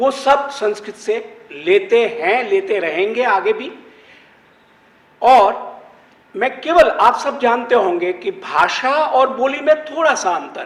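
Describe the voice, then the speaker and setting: With big swings in loudness and very wide pitch swings, a man speaks at an extremely high pitch over noticeable background noise. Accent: Gujarati. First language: Gujarati (speaking Hindi). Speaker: Sanskrit scholar, panelist. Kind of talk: panel discussion talk.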